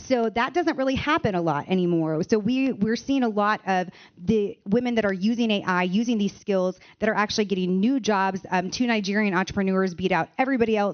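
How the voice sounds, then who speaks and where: A woman speaks in an ordinary speaking voice at a medium pitch with ordinary pitch variation. Her pace is fairly quick and her loudness very even. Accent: American. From United States. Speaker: AI education founder. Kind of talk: panel discussion.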